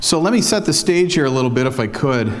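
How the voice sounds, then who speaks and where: Amid noticeable background noise and audible room echo, a man with a Minnesota accent talks at a fairly quick pace. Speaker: foundation investment officer. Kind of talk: conference talk. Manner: hesitant, many fillers.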